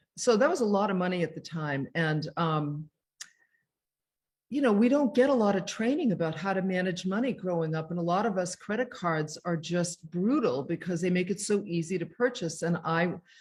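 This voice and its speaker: Lively intonation and a somewhat breathy quality mark this voice, heard at a moderate pace. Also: woman, medium pitch for a woman. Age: 60s. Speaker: self-care author. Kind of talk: interview. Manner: casual, conversational.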